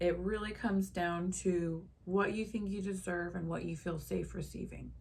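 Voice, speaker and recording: A woman is speaking. There is noticeable background noise and audible room echo. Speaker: lifestyle vlogger. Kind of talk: casual monologue to camera. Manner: slow.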